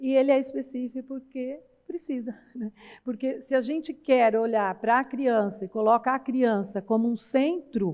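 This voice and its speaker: A woman speaks at a high pitch with ordinary pitch variation. Her pace is fairly slow, and the background is quiet. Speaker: university professor, research project coordinator. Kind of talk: conference panel talk. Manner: conversational, many fillers (né).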